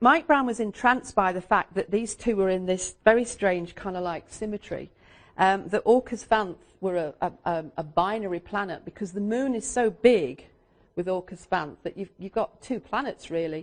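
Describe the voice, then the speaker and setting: A woman talks at a moderate pace with little sound behind her. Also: medium pitch for a woman, ordinary pitch variation. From England. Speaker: astrologer and teacher. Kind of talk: lecture. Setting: stage with audience. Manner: halting; animated.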